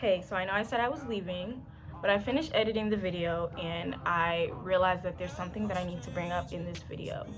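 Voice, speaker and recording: A woman with an American accent talks at a medium pitch with ordinary pitch variation, music in the background and audible room echo. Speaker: YouTuber, college student. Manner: fast.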